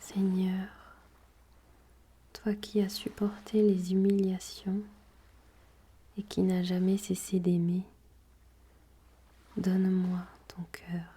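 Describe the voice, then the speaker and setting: With a calm, soothing tone, a woman speaks very slowly at medium pitch in monotone, flat intonation, leaving long, frequent pauses. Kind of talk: guided prayer and gospel reading.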